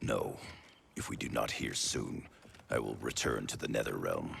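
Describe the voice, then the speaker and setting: Someone performs a raspy, put-on character voice at a moderate pace. An echo is audible. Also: man. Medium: video game. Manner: stern, suspicious.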